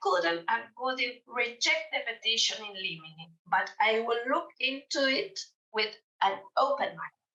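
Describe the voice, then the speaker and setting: Speaking at a very slow pace in a Spanish accent, a woman with a fairly high pitch makes very wide pitch swings. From Argentina, Mendoza. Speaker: judge. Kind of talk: conference presentation read from paper. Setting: remote presentation to conference. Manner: reading aloud, careful.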